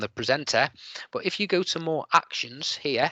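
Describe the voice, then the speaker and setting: A man with a slight Liverpool accent speaks at a moderate pace in a bright, sharp tone, the sound dry with no echo over a quiet background. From Liverpool, England. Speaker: teacher presenting an edtech webinar. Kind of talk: tutorial. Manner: hesitant, many fillers. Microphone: video call.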